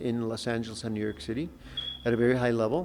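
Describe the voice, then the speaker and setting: Talking at a very fast pace with an American accent, a man with a medium pitch and lively intonation is heard over noticeable background noise. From Colorado (Denver), New Mexican roots. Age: 70s. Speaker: artist and youth nonprofit founder. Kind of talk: interview. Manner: halting, self-correcting.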